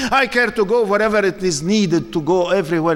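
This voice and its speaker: Loud, high-pitched speech from a man at a moderate pace over noticeable background noise. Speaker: Islamic lecturer. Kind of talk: sermon. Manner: animated.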